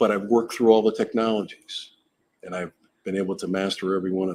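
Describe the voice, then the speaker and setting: At a fairly quick pace, a man with an American accent speaks in a fairly low, monotone, flat voice. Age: 60s. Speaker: retired TV news camera operator. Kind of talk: interview.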